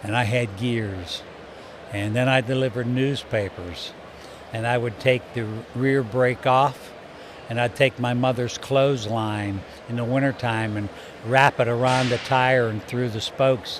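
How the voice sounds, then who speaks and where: A man's medium-pitched voice at a fairly slow pace, fairly even in intonation, with noticeable background noise. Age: 70s. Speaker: business owner in trucking. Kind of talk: casual interview. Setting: trade show.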